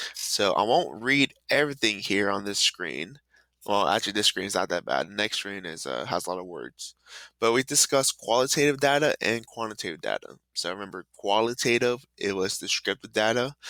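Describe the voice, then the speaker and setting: Upbeat and bright with a sharp tone, a man with a fairly low pitch and vocal fry talks at a fairly quick pace in a very clean recording over a silent background. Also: lively intonation. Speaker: math teacher. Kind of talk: classroom lesson video. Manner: casual, upbeat.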